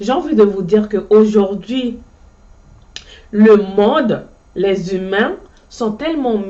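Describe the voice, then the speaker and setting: Very slow female speech, its pitch varying in an ordinary way. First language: Ndyuka (Djuka) (speaking French). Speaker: motivational vlogger. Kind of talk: motivational monologue. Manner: halting, frequent repetitions.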